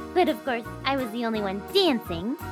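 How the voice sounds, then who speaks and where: A cartoonish character voice with clear music in the background. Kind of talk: children's podcast puppet character. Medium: read story.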